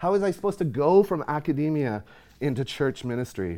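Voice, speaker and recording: A man speaks at a moderate pace in a dark, mellow tone, his pitch swinging very widely. The recording is very clean, with a silent background. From Nova Scotia, eastern Canada. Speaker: guest preacher. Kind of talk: sermon. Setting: church.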